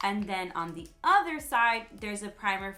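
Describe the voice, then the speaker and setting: A woman speaks at a medium pitch while music plays in the background. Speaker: beauty vlogger. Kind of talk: tutorial. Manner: loud.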